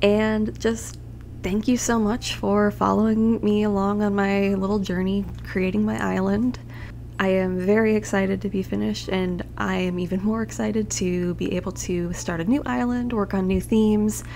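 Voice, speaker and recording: A soft-spoken woman at a moderate pace, with audible room echo. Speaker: gaming youtuber. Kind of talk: scripted narration.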